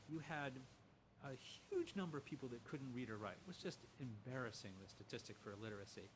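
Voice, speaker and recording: With an American accent, a man speaks at a fairly quick pace and medium pitch. His voice is somewhat breathy, with lively intonation. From US Midwest, Lima, Ohio. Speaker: professor, humanities center director. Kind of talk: casual interview conversation. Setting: in person.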